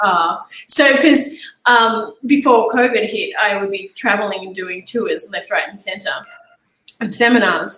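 A fairly high-pitched woman with an Australian accent, at a fairly slow pace, with ordinary pitch variation and big swings in loudness. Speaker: jiu-jitsu champion. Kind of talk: podcast interview.

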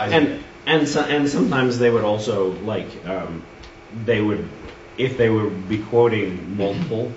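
Noticeable background noise fills the recording. The speech comes at a moderate pace with audible room echo. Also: man, medium pitch for a man, ordinary pitch variation. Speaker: Sunday school teacher. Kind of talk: lecture. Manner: halting with many fillers.

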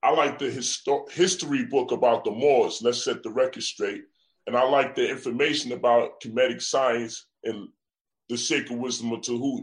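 A man with a New York accent, at a moderate pace. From US Northeast. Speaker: event promoter. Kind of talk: heated debate.

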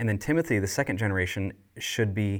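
A man with an unremarkable speaking voice talks quickly at a fairly low pitch. The recording is very clean, with a silent background. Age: 40s. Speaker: leadership trainer for churches. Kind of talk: casual podcast chat about discipleship.

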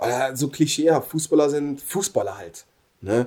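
A man's fairly high voice with vocal fry and a dark, mellow tone. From Germany. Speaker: professional footballer. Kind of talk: casual interview.

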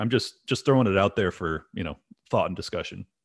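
A man with an American accent, lively intonation and a fairly quick pace against a quiet background. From California. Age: 30s. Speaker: podcast host. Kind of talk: opinion monologue; casual interview.

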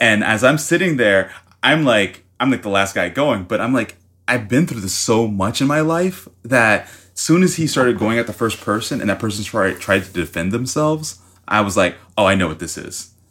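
A man with an American accent speaks at a moderate pace and medium pitch with lively intonation, in an ordinary speaking voice. The recording is very clean, with a silent background. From US South, Miami, Florida. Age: 30s. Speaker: painter. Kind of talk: casual chat.

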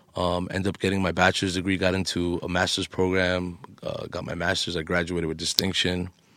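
On a very clean recording with a silent background, a man with a New York accent talks at a very deep, low pitch. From Queens, New York, US. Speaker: DJ and podcast co-host. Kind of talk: casual chat.

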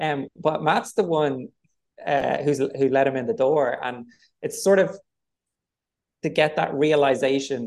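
A man with a Dublin accent, fairly high-pitched, at a fairly slow pace with long, frequent pauses and ordinary pitch variation. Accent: Dublin Irish. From Ireland, Dublin. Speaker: film director. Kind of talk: interview. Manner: hesitant, filler-heavy.

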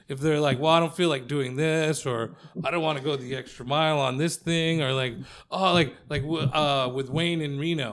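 This man has an unremarkable speaking voice, pitched fairly high, with ordinary pitch variation at a moderate pace. The recording is very clean, with a silent background. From Mexican-American, US. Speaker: stand-up comedian. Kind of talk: casual chat. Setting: comedy club.

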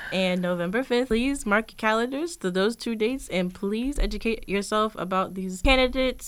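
A woman with an American accent talks at a moderate pace in a fairly high pitch. She has a plain, everyday voice with ordinary pitch variation. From Richmond, Virginia. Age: 20s. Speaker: student fellow. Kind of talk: interview.

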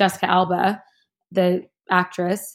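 A woman speaks with an American accent in a very clean recording with a silent background. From US West Coast, suburb outside Los Angeles. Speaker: fashion stylist. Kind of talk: casual interview conversation.

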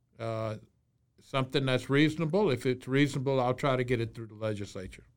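A man with a Louisiana accent and a medium pitch, at a very fast pace. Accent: Louisiana Southern US. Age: 60s. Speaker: state senator. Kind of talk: interview.

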